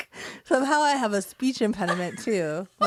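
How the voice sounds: The speaker reads in a natural reading voice, with lively intonation.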